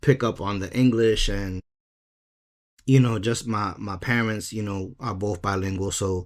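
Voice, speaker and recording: Fairly low pitch from a man at a fairly slow pace, very clean recording with a silent background. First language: Spanish. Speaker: podcast host. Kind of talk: casual chat.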